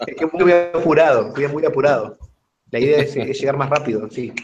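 Over faint music in the background, a man with a fairly high pitch talks at a fairly quick pace. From Argentina. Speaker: runner; trail running coach. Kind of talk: casual chat. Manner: very fast. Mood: laughing, joking. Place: home room. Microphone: webcam.

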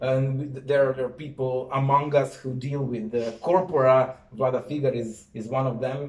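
Audible room echo surrounds a man who talks at a fairly slow pace with fairly even intonation. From Serbia. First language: Serbian. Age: 30s. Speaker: university professor. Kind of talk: lecture. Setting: stage with audience. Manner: halting. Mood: relaxed, friendly. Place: office.

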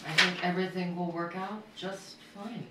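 Audible room echo surrounds a woman whose fairly low voice has a bright, sharp tone. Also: fairly even intonation, moderate pace.

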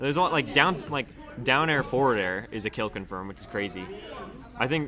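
Talking at a very fast pace, a man uses lively intonation with big swings in loudness. Noticeable background noise is present. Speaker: guest commentator. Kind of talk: live commentary. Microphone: studio mic.

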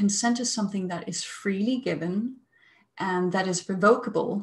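A fairly slow, somewhat breathy female voice. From Denmark. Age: 30s. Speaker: psychologist; webinar presenter. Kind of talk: webinar talk. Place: home room. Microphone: earbuds.

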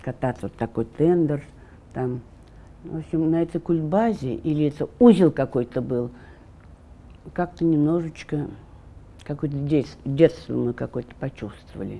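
A woman with a very deep, low voice and a dark, mellow tone speaks at a fairly slow pace with ordinary pitch variation. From Russia, Orenburg. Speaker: daughter of Gulag prisoners. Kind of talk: oral history interview answer. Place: studio. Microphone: lapel.

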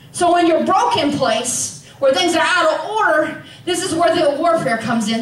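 A woman speaks at an extremely high pitch. The room echo is audible, with light background noise. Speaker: preacher. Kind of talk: sermon. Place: church.

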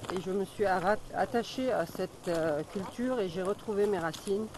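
A woman speaks with ordinary pitch variation. The sound is dry with no echo, though background noise is noticeable. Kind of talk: interview answer. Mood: warm, heartfelt. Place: forest. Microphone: phone near.

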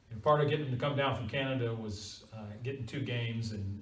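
A man's medium-pitched voice at a fast pace, fairly bright in tone, with ordinary pitch variation and strong room echo.

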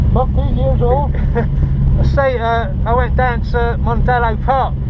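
Loud noise fills the background. Over it, a man talks. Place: car. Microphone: camera far.

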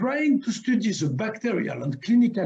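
A man's voice, dark and mellow in tone, comes through against quiet surroundings. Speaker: award lecture presenter. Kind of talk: lecture. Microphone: webcam.

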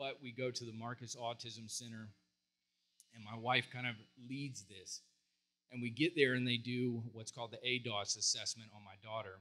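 With a bright, sharp tone and fairly even intonation, a man speaks with long, frequent pauses. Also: moderate pace. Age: 40s. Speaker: psychologist and counselor. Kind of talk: conference talk. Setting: stage with audience. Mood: heartfelt, emotional storytelling. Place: stage. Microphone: handheld.

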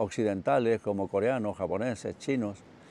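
Speaking at a fairly slow pace, a man has a fairly low pitch and a dark, mellow tone. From Chile, Santiago. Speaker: martial artist. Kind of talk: autobiographical monologue. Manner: hesitant, with fillers.

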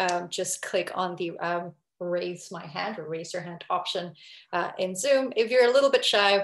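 Audible room echo and light background noise surround the recording. A woman talks at a moderate pace with ordinary pitch variation. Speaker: webinar host. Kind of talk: webinar presentation. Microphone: video call.

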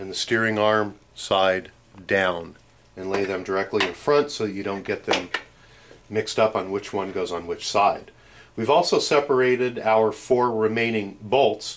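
Noticeable background noise sits behind a man with a fairly low pitch. He speaks at a fairly slow pace with ordinary pitch variation. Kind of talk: tutorial. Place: workshop.

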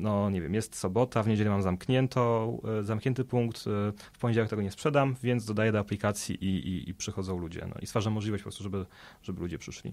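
On a very clean recording with a silent background, a man talks at a very fast pace, his fairly low voice showing ordinary pitch variation. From southern Poland, Stary Sącz. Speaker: food waste app representative and effective altruism advocate. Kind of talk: interview. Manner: halting, frequent repetitions.

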